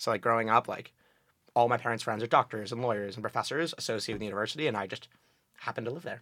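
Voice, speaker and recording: This man talks very fast in a northeastern American accent, his pitch medium with ordinary variation. His tone is bright and sharp. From New Haven, Connecticut. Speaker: college student on a date. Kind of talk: casual chat.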